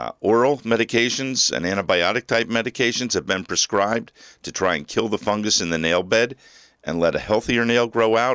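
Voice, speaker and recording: A man's plain, everyday voice with an American accent, medium pitch and ordinary pitch variation at a fairly quick pace, in a dry, close sound with no echo on a very clean recording with a silent background. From New Jersey. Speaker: podiatrist. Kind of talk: radio interview.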